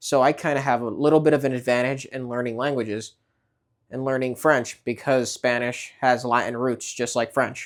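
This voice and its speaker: In a New York accent, a man speaks at a moderate pace and medium pitch with monotone, flat intonation on a very clean recording with a silent background. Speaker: vlogger. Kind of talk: casual vlog talk. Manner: hesitant, many fillers and repeats.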